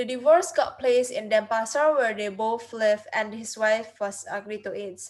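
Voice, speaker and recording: A woman with an Indonesian accent speaks at a fairly high pitch. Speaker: university student. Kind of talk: class presentation. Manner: halting.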